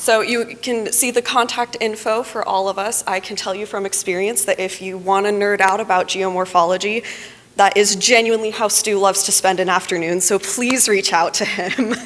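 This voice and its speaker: Fairly even intonation is heard against noticeable background noise. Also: woman, medium pitch for a woman. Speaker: water resources engineer. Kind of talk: conference presentation. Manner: fast.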